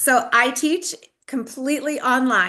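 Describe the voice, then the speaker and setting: A woman with an American accent speaks at a very slow pace in a bright, sharp tone. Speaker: online school teacher. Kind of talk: video call presentation.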